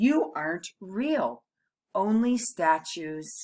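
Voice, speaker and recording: Putting on a squeaky character voice, a woman speaks at a medium pitch. She goes very slowly, with very wide pitch swings. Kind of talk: bedtime story. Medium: read story.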